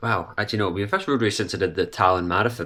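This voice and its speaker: The speaker is a man with a fairly low-pitched voice. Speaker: amateur runner vlogger. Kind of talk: casual vlog. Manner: hesitant with fillers.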